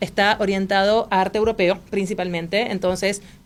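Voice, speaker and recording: Her medium-pitched voice stays monotone and flat as the woman talks. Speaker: art history teacher. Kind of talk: interview. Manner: fast.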